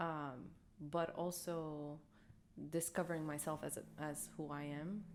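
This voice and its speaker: A woman with a very deep, low pitch speaks in an Arabic accent with monotone, flat intonation. Her pace is fairly slow, with long, frequent pauses, and there is audible room echo. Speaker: podcast co-host. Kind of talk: casual chat. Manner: hesitant.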